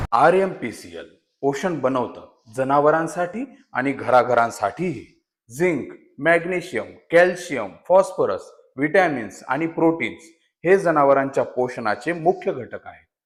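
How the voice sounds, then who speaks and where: A man with a fairly high voice and vocal fry speaks with lively intonation and big swings in loudness. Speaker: voice actor. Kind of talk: brand commercial narration in Marathi for a cattle feed company. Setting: studio.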